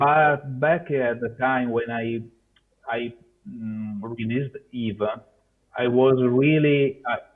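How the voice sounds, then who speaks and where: Speaking with a non-native accent, a man uses a medium pitch and fairly even intonation. His pace is very slow, with long, frequent pauses. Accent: non-native English, noticeable. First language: Italian. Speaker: software developer. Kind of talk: conference Q&A. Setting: video call. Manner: halting, many fillers.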